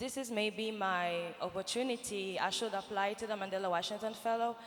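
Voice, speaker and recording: Speaking at a fairly quick pace with a French accent, a woman keeps a medium pitch and fairly even intonation. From Niger. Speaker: nonprofit founder, fellowship alumna. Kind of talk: panel interview on stage. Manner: hesitant, many fillers.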